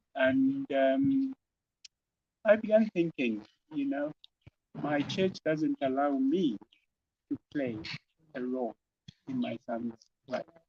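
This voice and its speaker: Speaking very slowly with long, frequent pauses, a man uses a dark, mellow tone, a fairly high pitch and lively intonation, the sound dry and close with no echo. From Zambia, Copperbelt. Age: 60s. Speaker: former priest, educator. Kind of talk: interview. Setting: at his home office.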